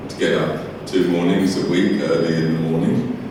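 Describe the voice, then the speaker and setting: Amid noticeable background noise and audible room echo, a man with a very deep, low voice speaks at a fairly slow pace. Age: 70s. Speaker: archbishop. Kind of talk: after-dinner speech. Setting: hotel function room with PA system. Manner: hesitant, repeats words.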